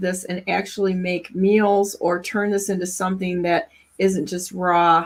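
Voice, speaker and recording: The speaker talks at a moderate pace in an Upper Midwest US accent. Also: woman. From Michigan. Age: 60s. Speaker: talk show host. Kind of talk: casual chat.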